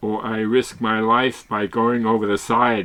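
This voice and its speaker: The man speaks at a medium pitch and a fairly slow pace. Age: 80s+. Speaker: solo sailor. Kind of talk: narration. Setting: on a yacht at sea. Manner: halting.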